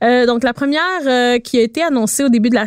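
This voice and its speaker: A woman with a Quebec accent sounds enthusiastic in a high voice, recorded dry and close with no echo. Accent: Québécois French. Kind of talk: casual chat.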